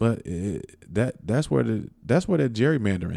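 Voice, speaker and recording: Vocal fry runs through a dark, mellow tone that moves at a moderate pace with very wide pitch swings. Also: man. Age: 40s. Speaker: podcast host. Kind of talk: casual monologue. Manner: animated.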